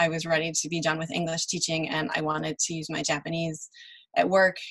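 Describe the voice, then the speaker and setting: With a Chicago accent, a woman talks at a fairly quick pace in a fairly low pitch. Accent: Chicago American English. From US Midwest, Chicago. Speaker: translator and interpreter. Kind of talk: panel interview.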